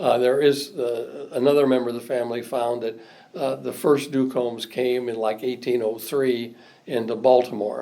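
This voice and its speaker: There is noticeable background noise as a man talks with a Midwestern US accent. His medium-pitched voice keeps a moderate pace and fairly even intonation. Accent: US Midwest. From Indiana, South Bend. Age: 70s. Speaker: retired state legislator. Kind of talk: oral history interview. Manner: halting.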